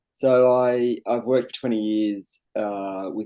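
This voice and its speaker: A man with an Australian accent speaks in a dark, mellow tone. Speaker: sustainability specialist and hypnotherapist. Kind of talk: interview podcast.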